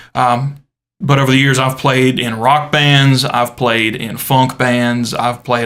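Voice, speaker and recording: A man with a Southern US accent, medium pitch, fairly slow pace and monotone, flat intonation. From US South, South Carolina. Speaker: podcast co-host, church guitarist. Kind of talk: casual chat. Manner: halting, many fillers.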